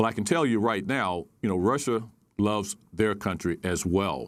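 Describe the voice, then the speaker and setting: Over a very clean recording with a silent background, a man speaks at a fairly slow pace with ordinary pitch variation. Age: 60s. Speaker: retired military officer, national security advisor. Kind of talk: news interview. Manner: halting, many fillers.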